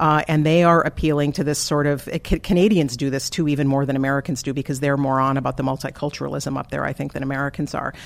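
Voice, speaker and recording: A woman's very deep, low voice with fairly even intonation, moving at a very fast pace. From US Upper Midwest (eastern South Dakota, Twin Cities). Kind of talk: interview conversation.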